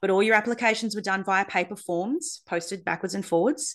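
Enthusiastic speech in an Australian accent, moderate pace, ordinary pitch variation, quiet background. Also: woman. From Australia, Darwin. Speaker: acupuncturist and podcast host. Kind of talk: podcast monologue.

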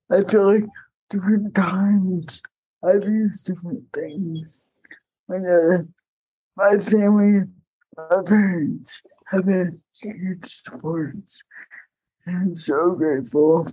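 With long, frequent pauses, a woman talks very slowly in a somewhat breathy voice with a dark, mellow tone and ordinary pitch variation. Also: medium pitch for a woman. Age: 40s. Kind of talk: panel discussion.

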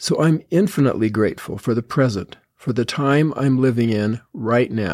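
A man's medium-pitched, dark, mellow voice with ordinary pitch variation, in a very clean recording with a silent background. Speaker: religious podcaster. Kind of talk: devotional talk.

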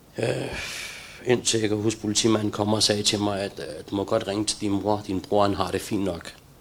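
A man speaks at a moderate pace with a fairly low pitch and fairly even intonation. Noticeable background noise can be heard. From Denmark, Copenhagen (Valby), Pakistani roots. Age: 40s. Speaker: recovered addict sharing his story. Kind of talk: testimony. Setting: live stream from a center. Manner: halting.

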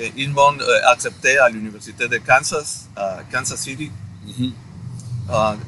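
Here a man talks in a medium pitch. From Guatemala. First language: Spanish (speaking French). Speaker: podcast guest. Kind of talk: interview. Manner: halting.

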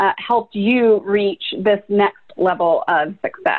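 Fairly high in pitch, a woman talks in an unremarkable speaking voice. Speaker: podcast host. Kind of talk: casual interview.

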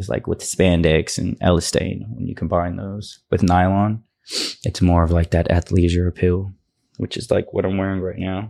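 A dark, mellow tone at a moderate pace with fairly even intonation, in an American accent, on a very clean recording with a silent background. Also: man, very deep, low pitch for a man. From North Texas, Dallas area. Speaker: clothing brand founder. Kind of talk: casual interview. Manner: hesitant, many fillers.

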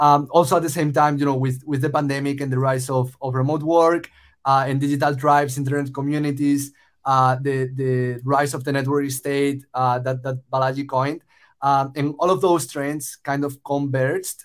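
A man with a Spanish accent talks in a fairly high pitch at a moderate pace. His intonation stays monotone and flat. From Spain. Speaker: startup founder. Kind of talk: casual interview conversation.

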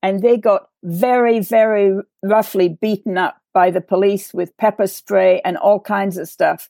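A woman's dark, mellow voice with an English accent, fairly slow, in a dry, close sound with no echo. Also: medium pitch for a woman, hardly any pauses. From England. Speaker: writer, nonprofit president. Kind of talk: discussion; scripted sign-off. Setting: video call.

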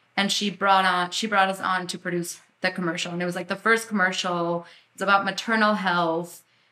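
A woman's bright, sharp tone. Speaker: film producer. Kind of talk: interview conversation.

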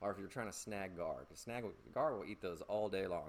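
A man with an American accent and a plain, everyday voice speaks fairly quickly at a fairly low pitch, with ordinary pitch variation. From US South. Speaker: fishing podcast host. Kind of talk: casual solo tutorial. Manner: playful, joking.

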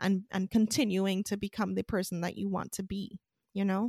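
Recorded with a dry, close sound and no echo, a woman with a normal speaking voice and medium pitch talks at a fairly quick pace. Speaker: podcast host. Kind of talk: interview.

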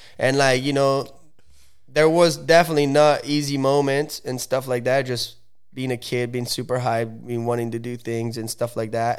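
A man with an Italian accent speaks at a moderate pace and a medium pitch, his intonation fairly even, on a very clean recording with a silent background. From Italy, Lake Como. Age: 20s. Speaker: professional wakeboarder. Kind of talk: casual chat.

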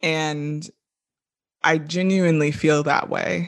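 Against a quiet background, a woman with an American accent speaks in a very deep, low pitch with fairly even intonation. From US South, Orlando, Florida. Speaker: engineering professor. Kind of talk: interview.

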